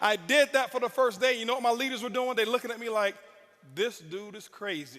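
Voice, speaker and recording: Over noticeable background noise, a man speaks fairly quickly in a raised, projected voice at an extremely high pitch. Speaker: network marketing speaker. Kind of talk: motivational speech. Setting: stage with audience. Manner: intense, yelling.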